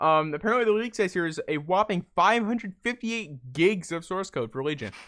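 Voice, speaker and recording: Over a quiet background, a man with a high pitch talks at a fairly quick pace. His intonation is lively. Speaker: podcast host. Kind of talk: casual chat. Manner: halting.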